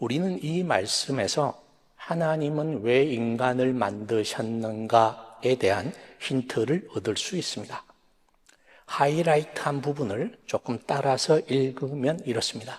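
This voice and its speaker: This man talks at a very slow pace in a Busan accent. His pitch is medium, with ordinary variation. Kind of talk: sermon. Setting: stage with audience. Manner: soft-spoken.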